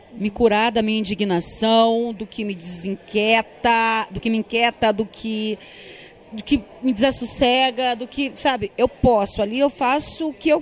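A woman speaks with an ordinary speaking voice at a fairly high pitch. Her pace is fairly slow and her pitch variation ordinary. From Tocantins, Brazil (sertão). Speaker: film director. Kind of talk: interview. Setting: film festival.

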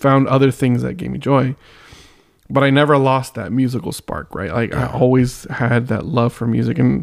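A man with an American accent talks at a moderate pace and a medium pitch. His is an unremarkable speaking voice with ordinary pitch variation. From San Diego, California. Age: 30s. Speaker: musician. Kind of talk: casual chat.

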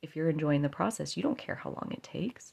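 This woman has a fairly low pitch with very wide pitch swings. Vocal fry runs through her speech. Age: 30s. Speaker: podcast host. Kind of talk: solo monologue podcast. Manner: casual, chatty with fillers.

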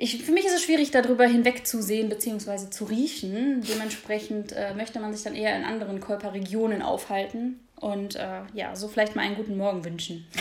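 Over noticeable background noise and audible room echo, a woman speaks at a fairly quick pace with hardly any pauses, using a fairly high pitch and ordinary pitch variation. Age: 20s. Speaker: podcast co-host. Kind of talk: casual chat. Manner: hesitant, many filler sounds.

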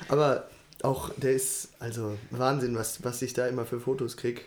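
A man speaks at medium pitch in a monotone, flat intonation. Audible room echo surrounds his voice. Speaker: podcast co-host. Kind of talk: casual chat.

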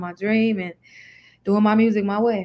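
A woman's fairly high voice at a fairly quick pace. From Chicago, east side. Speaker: R&B singer. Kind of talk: casual interview.

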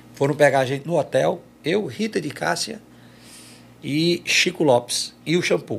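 A man speaks with lively intonation. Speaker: forró singer. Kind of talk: casual interview chat.

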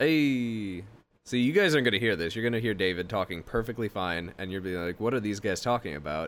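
An ordinary speaking voice from a man, fairly low in pitch, with lively intonation at a fairly quick pace, on a very clean recording with a silent background. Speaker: podcast co-host. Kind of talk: casual banter podcast. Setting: home recording setup. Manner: joking, sarcastic.

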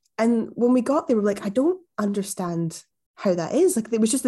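A woman with a Glaswegian accent has a dark, mellow tone and a fairly high pitch. Her lively intonation is captured in a very clean recording with a silent background. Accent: Glaswegian Scottish. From Scotland, Glasgow. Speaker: music journalist. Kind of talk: interview conversation.

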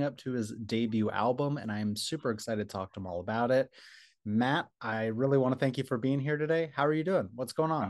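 In a normal speaking voice of medium pitch, a man talks fairly quickly with lively intonation against a quiet background. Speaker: interviewer. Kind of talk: casual interview.

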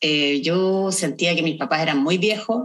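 A woman's fairly low voice with a Chilean accent, at a fairly slow pace with very wide pitch swings. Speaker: podcast co-host. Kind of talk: casual chat.

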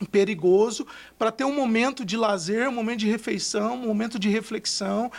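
On a very clean recording with a silent background, a man speaks in a high voice with ordinary pitch variation. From interior of São Paulo state, Brazil. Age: 30s. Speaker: social project manager. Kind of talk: interview storytelling. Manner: many fillers and repetitions.

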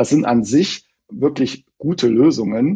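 In a dark, mellow tone, this man delivers his words at a fairly slow pace. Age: 40s. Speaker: bank identity specialist. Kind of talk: interview. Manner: hesitant, many fillers.

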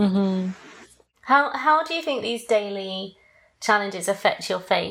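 A woman with a British accent speaks at a fairly slow pace, her intonation lively. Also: medium pitch for a woman. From Britain. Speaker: podcast host.

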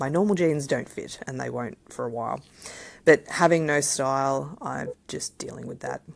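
Speaking at a moderate pace, a woman has an Australian accent. Her pitch is very deep and low, with vocal fry. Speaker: podcast host, parent. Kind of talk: solo podcast monologue. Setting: home recording. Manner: casual, chatty.

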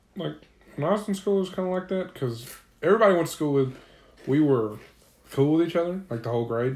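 Speaking very fast with lively intonation, a man with a fairly high pitch leaves long, frequent pauses. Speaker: podcast co-host. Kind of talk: casual chat.

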